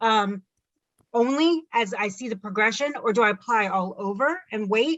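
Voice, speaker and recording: A woman with a normal speaking voice talks at a moderate pace, her fairly high pitch moving with lively intonation. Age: 50s. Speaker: patient asking questions. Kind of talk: online Q&A session. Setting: video call.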